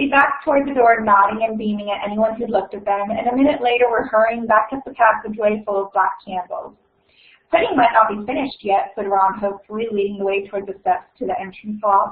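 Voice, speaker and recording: The woman talks at a very fast pace, her voice fairly high-pitched with ordinary pitch variation. Her loudness swings widely. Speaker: graduate library science student. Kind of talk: reading aloud. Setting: online virtual event.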